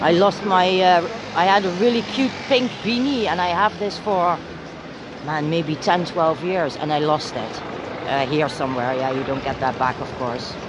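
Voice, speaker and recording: A woman with a Dutch accent at a moderate pace, very wide pitch swings, a dry sound with no echo, and noticeable background noise. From Netherlands. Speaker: citizen journalist livestreamer. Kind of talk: live street commentary. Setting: outdoors at street protest. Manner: casual, talking while walking. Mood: indignant, critical of police. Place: street. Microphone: phone near.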